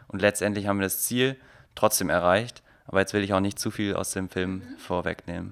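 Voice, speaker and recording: In a very clean recording with a silent background, a man with an unremarkable speaking voice and a fairly low pitch talks at a fairly quick pace. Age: 20s. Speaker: photographer and filmmaker. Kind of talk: casual interview.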